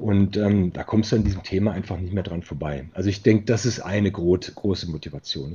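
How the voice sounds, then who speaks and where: Speaking at a fairly quick pace, a man has a very deep, low pitch. His voice is somewhat breathy, with fairly even intonation. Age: 40s. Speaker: managing director of a recruitment firm. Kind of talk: interview. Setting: virtual studio.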